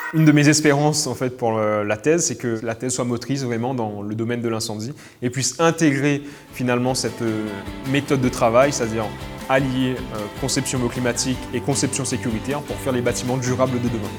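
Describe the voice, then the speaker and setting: A man at a medium pitch, fairly even intonation and a fairly quick pace, with music in the background. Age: 20s. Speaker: PhD student in fire safety engineering. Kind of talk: interview answer.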